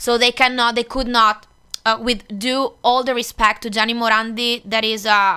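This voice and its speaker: In an Italian accent, a woman speaks at a fairly high pitch and a moderate pace. Her tone is bright and sharp, her intonation monotone and flat. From northeast Italy. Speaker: singer. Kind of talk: interview chat.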